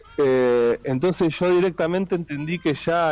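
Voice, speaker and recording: With a Rioplatense accent, a man is speaking. His pitch varies in an ordinary way. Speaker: musician and poet. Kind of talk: interview.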